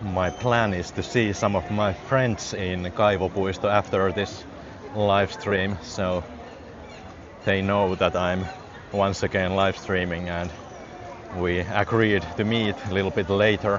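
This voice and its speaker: A man with a Finnish accent at a fairly low pitch, fairly slow pace and fairly even intonation, with long, frequent pauses, audible room echo and noticeable background noise. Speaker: live-streaming vlogger. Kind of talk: live walking vlog. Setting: outdoors. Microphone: wireless clip mic on phone.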